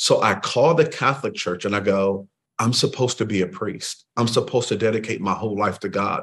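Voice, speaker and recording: A man with an American accent talks at a medium pitch with ordinary pitch variation in an ordinary speaking voice over a quiet background. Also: fairly quick pace. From Waterloo, Iowa (US Midwest). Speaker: pastor. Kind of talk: interview testimony.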